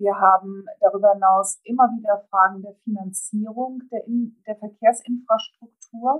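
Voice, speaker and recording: A woman talks at medium pitch. Her delivery is flat and monotone. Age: 50s. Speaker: transport industry association executive. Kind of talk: interview. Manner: hesitant, many filler sounds.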